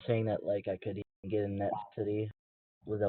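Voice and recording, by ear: In a quiet setting, a person reads aloud in a natural voice.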